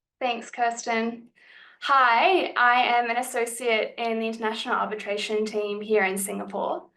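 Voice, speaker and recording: The speech moves at a moderate pace, bright and sharp in tone, with an Australian accent. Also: woman. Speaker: lawyer. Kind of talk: panel talk.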